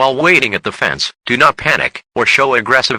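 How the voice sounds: This man talks at a medium pitch and a moderate pace, in a bright, sharp tone. The sound is dry and close, with no echo.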